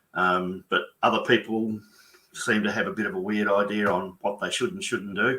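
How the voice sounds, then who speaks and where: The speaker is a man with an Australian accent. His pace is moderate. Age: 60s. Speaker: business mentor and bookkeeper. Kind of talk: webinar conversation.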